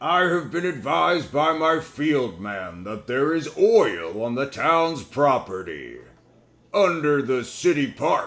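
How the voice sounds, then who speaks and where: A man's put-on character voice, fairly high-pitched, with very wide pitch swings and a fairly slow pace. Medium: read story. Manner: smooth, polite.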